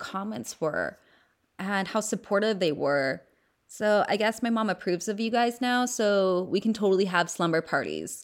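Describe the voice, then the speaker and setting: A woman in a Southern California accent, moderate pace, on a very clean recording with a silent background. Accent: Valley Girl. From US West Coast, San Fernando Valley. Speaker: podcast host. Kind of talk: casual chat.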